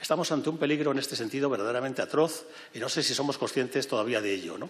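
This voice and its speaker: With audible room echo, a man talks at a very fast pace in a fairly high voice with ordinary pitch variation. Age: 70s. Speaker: president of refugee aid organization, former university rector. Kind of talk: public speech. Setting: parliament event hall with audience. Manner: halting, with self-corrections.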